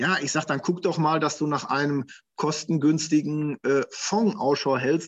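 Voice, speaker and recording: In an unremarkable speaking voice, a man talks at a fairly high pitch with ordinary pitch variation. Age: 50s. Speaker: financial advisor. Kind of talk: interview.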